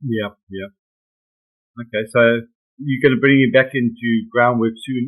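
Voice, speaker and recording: With monotone, flat intonation, a man at medium pitch speaks with long, frequent pauses. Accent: British. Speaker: horsemanship trainer. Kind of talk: webinar teaching. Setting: video call. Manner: fast; hesitant, many fillers.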